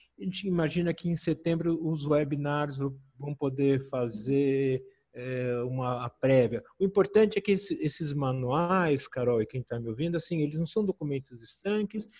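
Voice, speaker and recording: This man has a fairly high pitch, a somewhat breathy, dark and mellow tone, and lively intonation, speaking at a moderate pace with a dry, close sound and no echo. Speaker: medical physics expert. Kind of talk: webinar Q&A.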